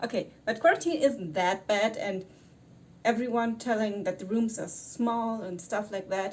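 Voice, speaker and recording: With a German accent, a woman speaks in a fairly high, somewhat breathy voice. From Germany. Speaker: YouTuber. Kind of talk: vlog. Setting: quarantine hotel room. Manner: halting.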